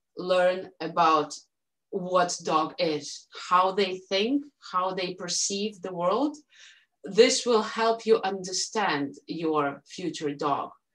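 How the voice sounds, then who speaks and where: In a Russian accent, a woman talks at a very slow pace and a medium pitch. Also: lively intonation. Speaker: dog owner and Shiba Inu breeder. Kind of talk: podcast interview. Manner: halting, many fillers.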